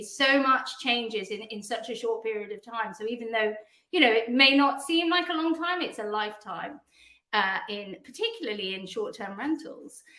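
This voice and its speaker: Bright and sharp in tone, a woman with a British accent speaks fairly quickly in a high voice. Her intonation is lively. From England. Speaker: PR agency founder. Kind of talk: podcast interview.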